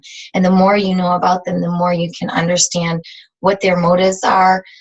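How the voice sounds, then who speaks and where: The woman's voice is somewhat breathy. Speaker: fitness team leader. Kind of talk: team training call. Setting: video call.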